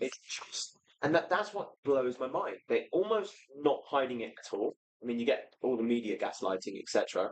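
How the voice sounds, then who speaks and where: A man with an English accent talks at a moderate pace in an animated tone with lively intonation. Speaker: activist writer. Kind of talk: casual chat.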